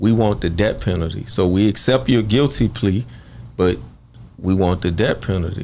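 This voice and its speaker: Speaking with a Louisiana accent, a man has a dark, mellow tone and a fairly low pitch with ordinary variation. His pace is moderate and his loudness very even. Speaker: murder victim's brother. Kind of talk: interview.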